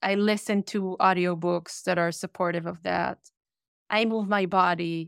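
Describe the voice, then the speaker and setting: A woman's medium-pitched voice with an Israeli accent, dry and close with no echo, on a very clean recording with a silent background. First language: Hebrew. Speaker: author and workshop leader. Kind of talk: interview. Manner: direct.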